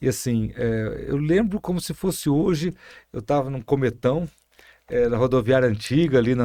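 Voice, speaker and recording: In a plain, everyday voice, the man keeps a moderate speed and mid-range pitch while his intonation stays lively. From Brazil, interior of São Paulo state. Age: 60s. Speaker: mayor and physician. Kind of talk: podcast interview.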